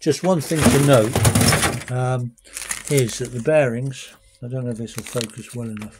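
Fairly slow and fairly even in intonation, a man speaks at medium pitch with a slightly husky edge.

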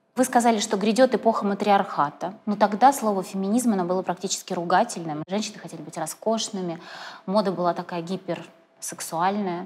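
Speaking at a fairly quick pace, a woman shows big swings in loudness and ordinary pitch variation. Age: young. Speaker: interviewer and blogger; interviewer, blogger. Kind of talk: interview. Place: studio. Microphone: lapel.

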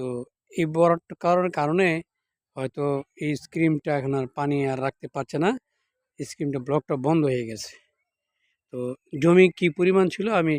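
A man talks at a fairly high pitch with ordinary pitch variation. The recording is very clean, with a silent background and a dry, close sound free of echo. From Bangladesh, Comilla (Muradnagar). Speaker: local video blogger. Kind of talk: walking video report. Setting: outdoors. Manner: halting.

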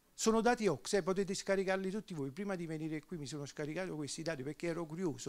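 This man has a Neapolitan accent and a high pitch. He talks at a fairly quick pace with ordinary pitch variation. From southern Italy, Naples; southern Italy. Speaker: economist; speaker. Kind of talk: panel discussion. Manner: halting. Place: hall. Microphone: handheld.

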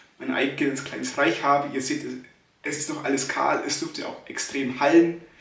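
A man talks at a moderate pace with a fairly high pitch, and audible room echo surrounds his voice. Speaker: stutterer. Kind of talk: casual vlog talk to camera. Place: empty room. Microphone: phone near.

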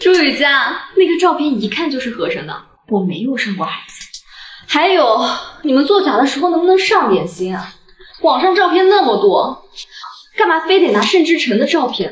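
A woman with a high pitch speaks at a moderate pace. Light background noise and audible room echo are present. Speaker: actress in drama. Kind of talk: scripted drama dialogue. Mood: mocking, confrontational. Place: home room.

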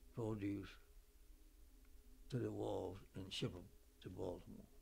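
Somewhat breathy, a man with an American accent talks in fairly even intonation. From Virginia. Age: 80s+. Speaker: oral history interviewee; interviewee. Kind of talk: oral history interview. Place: home room.

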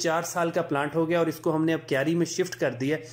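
This man's voice sits at a high pitch with fairly even intonation. He talks at a moderate pace. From Punjab. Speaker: gardening YouTuber. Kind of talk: tutorial.

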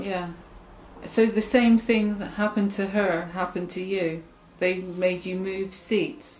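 A woman reads at a fairly slow pace. Her intonation stays fairly even over light background noise. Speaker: oral history interviewer. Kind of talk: interview questions. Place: home room.

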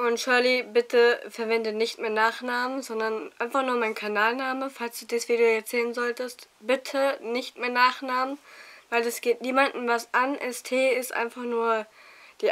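This woman's voice sits high. She speaks neither fast nor slow, at a moderate pace. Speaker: vlogger. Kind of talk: casual vlog monologue. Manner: animated.

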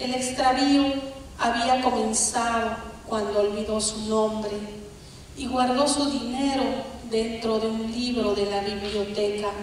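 In a room with strong echo and light background noise, a woman speaks at a very slow pace. Her fairly high voice stays monotone and flat. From Bolivia. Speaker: poet. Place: stage.

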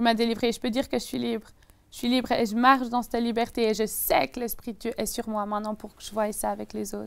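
The woman's voice is fairly high and her intonation stays fairly even. She speaks very fast, and her loudness swings widely. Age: 20s. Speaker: young evangelist and Bible student; young evangelist. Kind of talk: testimony. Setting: TV studio. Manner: intense, passionate. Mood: earnest faith testimony. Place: studio. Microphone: lapel.

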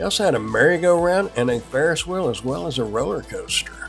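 A man speaks with faint music in the background. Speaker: local vlogger. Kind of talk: casual vlog chat with local history. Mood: cheerful, relaxed. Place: waterside. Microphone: lapel.

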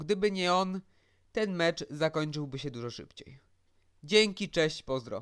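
A man's high-pitched voice at a very slow pace, with ordinary pitch variation and big swings in loudness. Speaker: football commentator youtuber. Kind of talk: solo match analysis vlog.

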